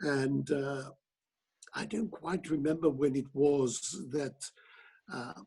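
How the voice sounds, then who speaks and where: A man speaks very slowly at a fairly high pitch, with long, frequent pauses and ordinary pitch variation. His tone is dark and mellow and somewhat breathy. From Italy, Milan. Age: 70s. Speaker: opera director and teacher. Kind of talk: interview.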